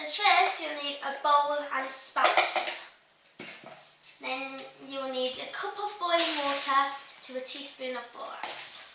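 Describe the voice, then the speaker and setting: A woman with a high pitch speaks very slowly in a raised, projected voice, her pitch varying in an ordinary way. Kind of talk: casual craft tutorial talk to camera.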